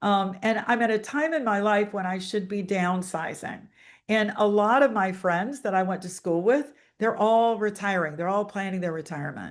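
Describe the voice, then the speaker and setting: A woman with a plain, everyday voice talks at a moderate pace in a medium pitch. Her pitch varies in an ordinary way, and the background is quiet. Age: 60s. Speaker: financial author and speaker. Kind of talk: webinar presentation.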